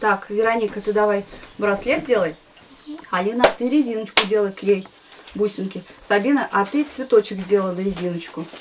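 A woman at medium pitch, ordinary pitch variation, moderate pace, light background noise. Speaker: foster mother of large family. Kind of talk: instructions to children. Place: home room. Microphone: camera far.

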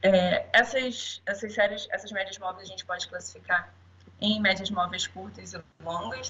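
Her loudness rises and falls in big swings as a woman talks at a moderate pace. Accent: Rio de Janeiro. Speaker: statistician, public safety analyst. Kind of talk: conference talk. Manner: halting, many fillers.

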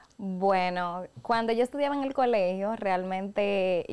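With a dark, mellow tone, a woman speaks at a fairly slow pace. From Dominican Republic (La Vega); Dominican Republic. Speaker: professional voice-over announcer and podcast co-host; podcast guest, professional announcer. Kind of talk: casual chat. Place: studio. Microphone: studio mic.

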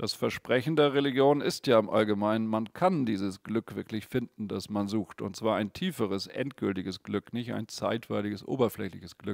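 Over a quiet background, a man with a fairly low pitch speaks at a moderate pace with hardly any pauses, ordinary pitch variation and a dry sound with no echo. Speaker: Buddhist meditation teacher. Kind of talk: guided meditation and dharma teaching, calm and explanatory. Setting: studio, video stream without audience. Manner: gently explanatory, conversational.

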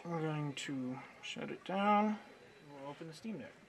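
Light background noise behind a man talking at a moderate pace. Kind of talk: tutorial. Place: workshop.

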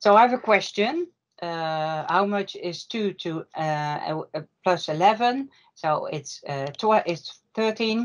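A woman at a very slow pace with lively intonation, against a quiet background. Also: medium pitch for a woman. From Netherlands. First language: Dutch. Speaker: workshop presenter; presenter. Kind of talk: online workshop presentation. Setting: video call. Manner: apologetic about English, hesitant. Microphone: video call.

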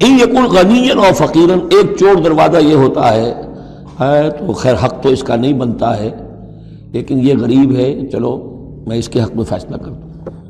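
A man at a fairly slow pace, with very wide pitch swings and light background noise. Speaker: religious lecturer. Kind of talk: lecture. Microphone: lapel.

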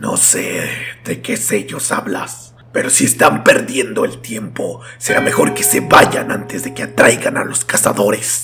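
Over clear music in the background, a man with a raspy voice and medium pitch speaks at a fairly slow pace. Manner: sanctimonious, hostile.

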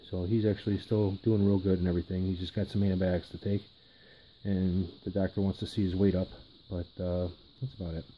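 Over slight background noise, a man races through his words extremely fast. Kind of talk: casual vlog chat. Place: home room. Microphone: phone near.

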